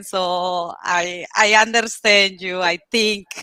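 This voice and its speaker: Bright and sharp in tone, a woman speaks with a non-native accent. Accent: foreign accent in English. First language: not English. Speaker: show host. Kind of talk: interview. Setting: livestream.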